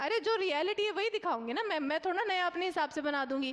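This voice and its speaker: Someone is shouting with lively intonation. Background noise is noticeable. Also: woman. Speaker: online exam coaching teacher. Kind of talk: live online class solving mock test questions. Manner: loud, shouting for a long time; conversational, many fillers and checks.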